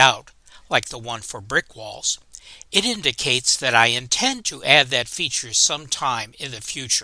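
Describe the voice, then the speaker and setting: Bright and sharp in tone, a man's medium-pitched voice with ordinary pitch variation and big swings in loudness moves at a moderate pace in a very clean recording with a silent background. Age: 70s. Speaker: retired computer scientist presenting model railroad seminar. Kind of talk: recorded seminar presentation.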